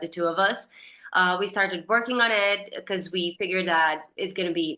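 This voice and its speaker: A bright, sharp tone at a moderate pace, with ordinary pitch variation. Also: woman. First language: Serbian. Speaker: actress. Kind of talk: interview.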